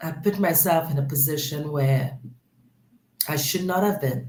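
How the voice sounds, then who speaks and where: A woman's very deep, low, somewhat breathy voice in a Trinidadian accent, fairly slow, with ordinary pitch variation. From Trinidad and Tobago. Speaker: guest sharing personal story. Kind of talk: interview.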